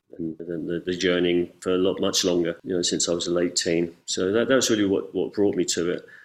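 A man's very deep, low voice with an English accent, fairly quick and with hardly any pauses, in fairly even intonation. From England. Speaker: ayahuasca ceremony facilitator. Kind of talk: casual interview chat. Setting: video call.

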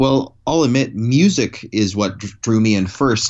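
Here a man speaks in a plain, everyday voice, fairly low in pitch with ordinary pitch variation. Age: 30s. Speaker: documentary filmmaker. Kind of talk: interview. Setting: podcast interview.

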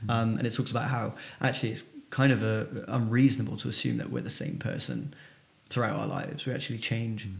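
Talking at a very fast pace, a man speaks at medium pitch with ordinary pitch variation, and audible room echo surrounds his voice. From England, Bristol area. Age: 30s. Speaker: entrepreneur. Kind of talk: interview conversation.

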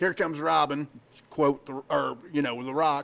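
A man with a fairly high pitch and a plain, everyday voice. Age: 50s. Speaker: podcast co-host. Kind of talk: casual chat.

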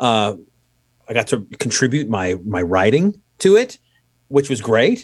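This man speaks at a medium pitch. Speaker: musician.

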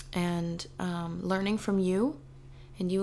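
A woman at medium pitch, fairly slow and fairly even in intonation, with audible room echo. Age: 20s. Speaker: podcast host, mother. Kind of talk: casual chat.

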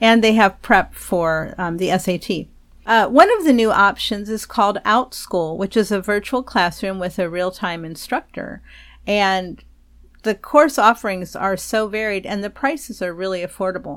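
On a very clean recording with a silent background, a woman with an American accent speaks in a normal speaking voice at a medium pitch and a moderate pace, with ordinary pitch variation. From Texas. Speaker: podcast host, homeschooling parent. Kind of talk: casual advice talk.

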